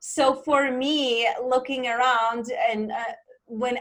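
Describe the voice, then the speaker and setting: A woman's high-pitched voice with fairly even intonation and a Czech accent. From Czech Republic. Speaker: life coach. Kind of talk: interview.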